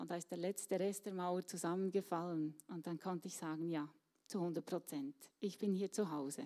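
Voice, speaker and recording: A woman's dark, mellow tone at a moderate pace, with ordinary pitch variation. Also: fairly low pitch for a woman. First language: Swiss German (speaking German). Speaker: church volunteer. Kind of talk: interview. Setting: stage with audience.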